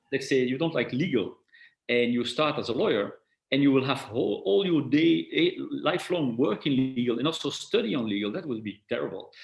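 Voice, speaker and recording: This man speaks in a non-native accent at a fairly quick pace. His pitch sits fairly high. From Belgium. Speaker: tech company executive. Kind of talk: interview. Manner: halting with repetitions.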